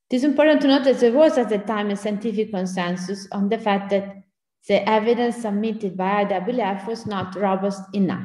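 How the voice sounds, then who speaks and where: Her tone is dark and mellow, at medium pitch with ordinary pitch variation and a moderate pace. The woman's voice carries audible room echo. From Italy. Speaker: bioethicist. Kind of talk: Q&A discussion; lecture. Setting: pre-recorded video.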